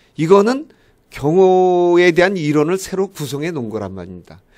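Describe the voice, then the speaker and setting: A man's voice is heard on a very clean recording against a silent background. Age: old. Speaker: professor. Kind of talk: lecture.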